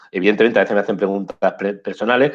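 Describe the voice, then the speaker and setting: A man's voice sits at a fairly low pitch. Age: 60s. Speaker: photojournalist. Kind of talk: interview. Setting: video call.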